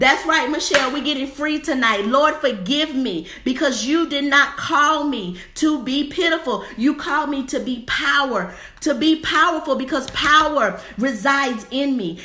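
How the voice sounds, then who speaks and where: Her raised, projected voice is high-pitched with ordinary pitch variation, and the woman talks at a moderate pace with hardly any pauses. Audible room echo and noticeable background noise fill the recording. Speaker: faith-based divorce coach and minister. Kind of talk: motivational livestream sermon. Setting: live stream. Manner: animated, preacherly.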